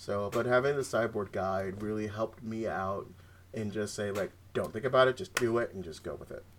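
This man has a plain, everyday voice, fairly low in pitch, with ordinary pitch variation and a fairly quick pace. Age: 30s. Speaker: card game champion. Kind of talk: casual chat.

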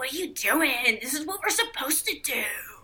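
A put-on character voice sits at a high pitch. It moves at a fairly quick pace. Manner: impatient, scolding.

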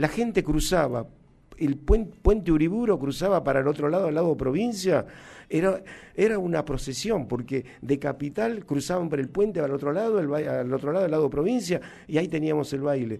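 With lively intonation, a man speaks in a dark, mellow tone at a fairly high pitch. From Argentina, Jujuy (Humahuaca). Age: 60s. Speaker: cumbia drummer. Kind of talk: interview. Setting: studio. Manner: halting.

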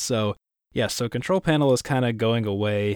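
In a very clean recording with a silent background, a man with a fairly low pitch talks at a fairly quick pace in an ordinary speaking voice. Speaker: podcast host. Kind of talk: casual banter podcast chat. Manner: joking, self-deprecating.

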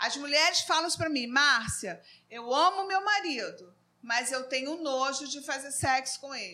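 Bright and sharp in tone, a woman speaks in a raised, projected voice with high pitch. Her intonation is lively and her pace moderate. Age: 50s. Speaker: psychologist and Sunday school teacher. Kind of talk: Bible class discussion. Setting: live stream.

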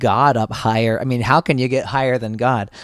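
Speaking in a normal speaking voice with an American accent, a man holds a medium pitch, a moderate pace and fairly even intonation, on a very clean, dry, close recording with no echo and a silent background. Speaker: pastor and musician. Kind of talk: casual chat.

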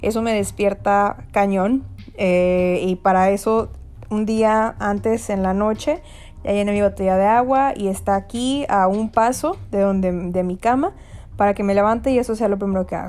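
A woman speaks in a normal speaking voice at a medium pitch, with fairly even intonation and a moderate pace. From Mexico. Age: 20s. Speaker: podcast host, graduate student. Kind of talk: casual monologue podcast. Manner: frequent laughter, filler words.

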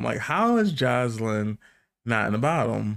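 A man with a plain, everyday voice at a medium pitch, speaking fairly slowly in a very clean recording with a silent background. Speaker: podcast co-host and TV recapper. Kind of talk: casual recap chat. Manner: conversational, chatty.

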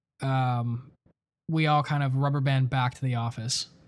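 A man with an unremarkable speaking voice and an American accent speaks at a moderate pace and fairly high pitch in a very clean recording with a silent background. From Buffalo, New York. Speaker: podcast co-host, production director. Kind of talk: casual chat.

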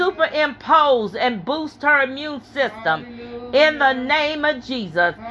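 A woman's raised, projected, animated voice, high in pitch and at a fairly slow pace, over music in the background. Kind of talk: fervent intercessory prayer. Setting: church prayer meeting. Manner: intense, rhythmic, punctuated by hallelujahs; animated, fervent, loud-spirited praying.

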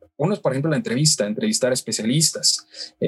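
With music in the background, a man speaks at a fairly quick pace. His pitch is fairly high and swings very widely. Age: 20s. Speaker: radio news anchor and reporter. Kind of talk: interview.

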